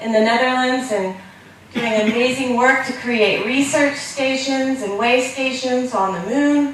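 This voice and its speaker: Over noticeable background noise and audible room echo, a woman speaks loudly at a fairly slow pace and a high pitch, with ordinary pitch variation. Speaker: space education entrepreneur. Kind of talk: conference talk. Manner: loud, projecting voice; animated.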